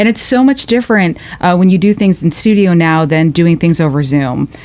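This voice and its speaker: Lively intonation and a fairly quick pace come through at very even loudness over noticeable background noise. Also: woman, fairly low pitch for a woman. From New York. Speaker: podcast host. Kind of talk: podcast interview. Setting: studio.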